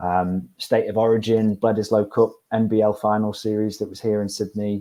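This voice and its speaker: With a British accent, a man speaks at a moderate pace in a fairly low, dark, mellow voice. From UK. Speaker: university staff presenter. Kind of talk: webinar presentation. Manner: repeats words, halting.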